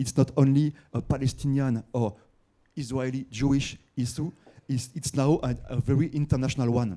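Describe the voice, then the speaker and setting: This man has a French accent and a dark, mellow tone. His intonation stays fairly even at a moderate pace. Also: medium pitch for a man. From France. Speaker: newspaper writer, audience member. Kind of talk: audience question at conference. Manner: halting, many fillers and repetitions.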